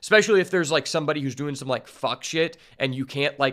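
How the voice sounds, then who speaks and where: On a very clean recording with a silent background, a man talks with a fairly high pitch, a bright, sharp tone and ordinary pitch variation. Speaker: streamer reacting to a show. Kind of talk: reaction commentary. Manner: casual with many fillers.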